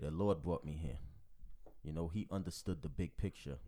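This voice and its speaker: A man's very deep, low voice with a dark, mellow tone, in a very clean recording with a silent background. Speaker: podcast co-host. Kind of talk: casual Bible study chat. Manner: loud.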